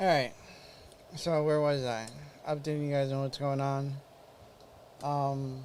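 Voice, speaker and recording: Man's fairly high voice, fairly slow and monotone with flat intonation, long, frequent pauses, and audible room echo. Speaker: podcast host with Parkinson's, former EMT. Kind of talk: casual live-stream update. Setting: live stream. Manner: halting.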